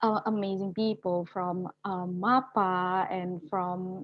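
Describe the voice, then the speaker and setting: At a very slow pace, a woman speaks with an Indonesian accent. Her intonation is fairly even. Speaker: youth climate activist. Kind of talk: webinar panel discussion. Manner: halting.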